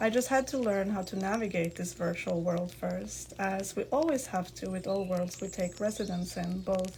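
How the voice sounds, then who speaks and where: A woman with a non-native accent talks at a moderate pace with hardly any pauses, while noticeable background noise plays. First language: not English. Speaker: podcast host. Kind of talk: podcast monologue, partly read from notes. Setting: live in a virtual game platform.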